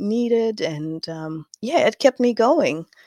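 Recorded dry and close with no echo, a woman speaks at a fairly high pitch with a dark, mellow tone and very wide pitch swings. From southern Kazakhstan. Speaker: knitwear designer. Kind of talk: interview conversation.

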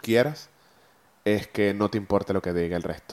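A man speaks at a fairly low pitch with fairly even intonation. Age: 30s. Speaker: podcast host and photographer. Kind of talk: solo motivational monologue. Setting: recording on camera and audio. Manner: halting, many repeated words.

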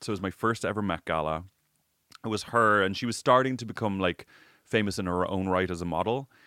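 A man with an American accent talks at a very fast pace in a bright, sharp tone, with a fairly low pitch and ordinary pitch variation. The very clean recording has a silent background and a dry, close sound with no echo. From Ireland. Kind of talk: casual chat. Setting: recording studio.

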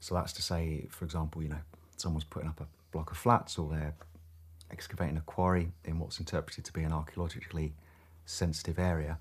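Speaking very fast in a flat monotone, a man with a very deep, low voice sounds somewhat breathy on a very clean recording with a silent background. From southeast England. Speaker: crofter and firefighter. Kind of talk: interview.

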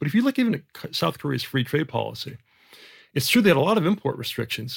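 Using lively intonation, a man speaks with a General American accent. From Jamaica. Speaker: economist. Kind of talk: interview.

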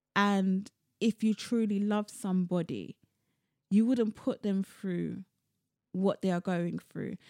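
A woman with a London accent speaks at a very slow pace with a dark, mellow tone, fairly even intonation and long, frequent pauses, in a very clean recording with a silent background. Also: medium pitch for a woman, dry, close sound with no echo. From London, of Sierra Leonean descent. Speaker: poet and cultural producer. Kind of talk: casual interview chat.

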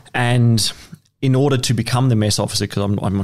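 A man with an Australian accent talks at a fairly quick pace and a medium pitch. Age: 30s. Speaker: guest musician. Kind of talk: casual chat.

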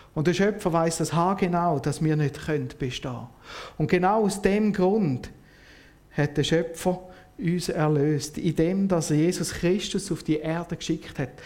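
A man with a Swiss accent speaks at a fairly slow pace. His high pitch shows ordinary variation. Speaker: lay preacher. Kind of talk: sermon.

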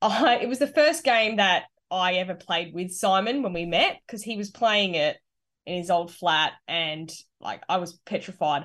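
A woman in an Australian accent, medium in pitch, lively in intonation, at a moderate pace against a quiet background. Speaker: gaming podcast co-host. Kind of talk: casual chat.

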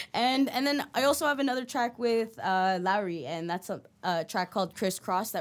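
In a Toronto accent, a woman speaks with very wide pitch swings on a very clean recording with a silent background. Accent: Toronto-area Canadian English. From Canada, Mississauga, Ontario (Filipino household). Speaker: rapper. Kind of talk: casual interview.

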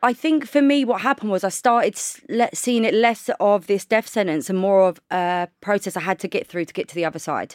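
On a very clean recording with a silent background, a woman with a normal speaking voice talks fairly quickly at a medium pitch, with lively intonation and hardly any pauses. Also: dry, close sound with no echo. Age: 30s. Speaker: podcaster and cancer charity founder. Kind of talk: casual chat.

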